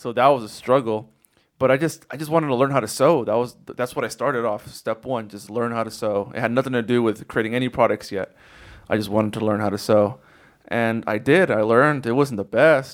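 A man talks in an unremarkable speaking voice at a medium pitch. He moves at a fairly quick pace with ordinary pitch variation. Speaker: product designer and sewer. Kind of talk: casual interview chat.

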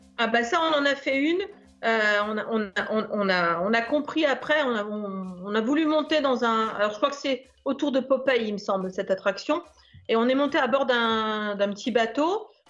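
A woman's fairly high, lively voice at a fairly slow pace, a plain, everyday voice. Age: 50s. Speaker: listener sharing a trip report. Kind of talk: casual interview.

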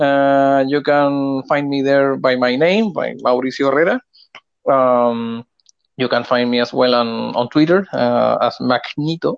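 Speaking fairly slowly with a Spanish accent, a man keeps a medium pitch, fairly even intonation and very even loudness. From Chile. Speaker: game developer. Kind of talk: interview. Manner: halting.

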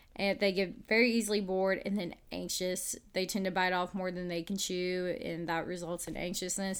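In a Southern US accent, a woman speaks at a medium pitch. Her intonation stays fairly even. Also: moderate pace, very clean recording, silent background. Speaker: podcast host. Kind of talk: casual chat.

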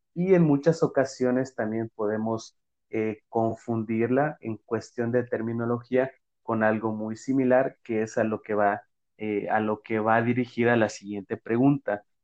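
A man with a normal speaking voice, medium pitch and fairly even intonation at a fairly slow pace. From Mexico. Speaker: podcast host, physical education teacher. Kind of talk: casual interview.

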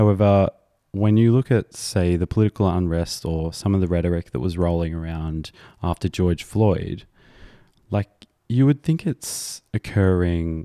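In an Australian accent, a man with a very deep, low pitch and a dark, mellow tone talks at a moderate pace with fairly even intonation, recorded very cleanly against a silent background with a dry, close sound and no echo. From rural Australia. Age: 20s. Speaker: podcast host. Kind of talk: casual chat.

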